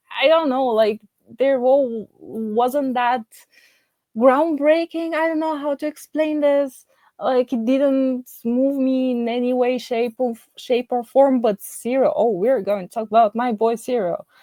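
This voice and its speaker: A woman with a non-native accent speaks at a fairly slow pace in a high pitch with ordinary variation. Her tone is dark and mellow, and the sound is dry and close with no echo. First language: not English. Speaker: YouTube TV show reviewer. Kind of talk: casual video review monologue. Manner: halting, many fillers and restarts.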